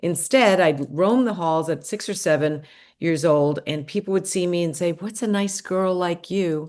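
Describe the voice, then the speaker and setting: Against a quiet background, a woman with an American accent and a plain, everyday voice speaks at a moderate pace and fairly low pitch with ordinary pitch variation. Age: 60s. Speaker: gerontologist and longevity coach. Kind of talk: podcast interview. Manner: conversational.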